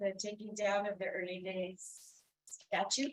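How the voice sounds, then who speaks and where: At a moderate pace, a woman with a fairly high pitch uses an unremarkable speaking voice. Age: 60s. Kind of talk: self-introduction at a council meeting. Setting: community meeting room.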